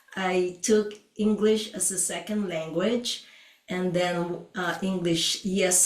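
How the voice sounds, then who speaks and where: A speaker with a non-native accent talks at a very slow pace. Room echo is audible, and the intonation stays fairly even. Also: woman. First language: not English. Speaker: podcast co-host and Oriental medicine doctor. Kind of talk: podcast conversation. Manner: hesitant, with frequent fillers.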